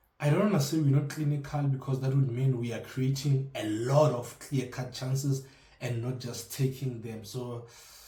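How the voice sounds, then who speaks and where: A man with a South African accent at a moderate pace and medium pitch, intonation fairly even, with audible room echo and noticeable background noise. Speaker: football fan vlogger. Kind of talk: casual commentary vlog. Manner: halting, many fillers; mumbles.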